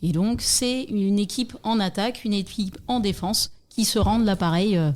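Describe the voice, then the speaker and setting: A woman with an ordinary speaking voice, medium pitch, ordinary pitch variation, very even loudness and a moderate pace. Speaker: softball coach and club secretary. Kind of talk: interview.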